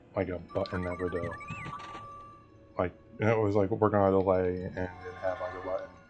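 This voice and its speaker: Over background music, a man speaks in a very deep, low voice that is monotone and flat. His pace is fairly quick, broken by long, frequent pauses. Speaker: gaming youtuber. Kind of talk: gameplay commentary. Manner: halting.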